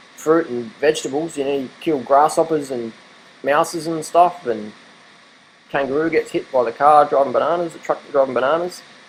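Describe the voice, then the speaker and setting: A man with an Australian accent talks at a fairly quick pace. His pitch is fairly high. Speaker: vegan diet vlogger. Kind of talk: casual monologue. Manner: animated.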